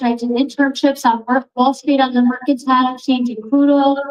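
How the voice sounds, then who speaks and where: Speaking at a fairly quick pace, a woman with a Long Island accent uses a high pitch. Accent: Long Island New York. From Long Island, New York. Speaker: recovery speaker. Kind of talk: recovery testimony. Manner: animated.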